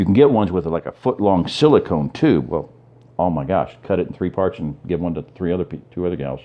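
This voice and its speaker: At a very fast pace, a man talks with vocal fry and a very deep, low pitch. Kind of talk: casual talk to camera, rambling commentary. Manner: rambling, conversational, hesitant with filler words.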